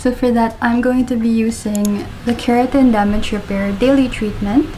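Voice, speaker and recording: Fairly even intonation and a moderate pace come through over light background noise. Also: woman. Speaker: beauty vlogger. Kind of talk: casual vlog chat. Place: home room. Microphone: phone near.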